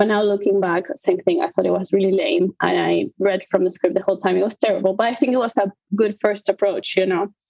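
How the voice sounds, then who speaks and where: A woman with a non-native accent at medium pitch and a very fast pace, with vocal fry, ordinary pitch variation, very even loudness and hardly any pauses. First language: not English. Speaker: conductor. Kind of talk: interview. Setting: live podcast.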